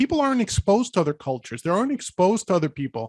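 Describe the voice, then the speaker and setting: A man with a New York accent talks at a high pitch with very wide pitch swings. The sound is dry and close, with no echo. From New York City, the Bronx. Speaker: podcast host. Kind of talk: casual chat.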